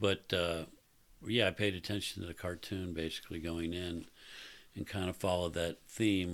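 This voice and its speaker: Very deep, low male voice at a moderate pace, monotone and flat in intonation, on a very clean recording with a silent background. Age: 60s. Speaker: podcast guest, host's father. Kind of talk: casual chat.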